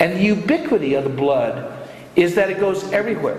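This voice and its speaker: Against noticeable background noise, a man talks very fast. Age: 60s. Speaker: economics lecturer. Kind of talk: lecture. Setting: lecture hall with audience.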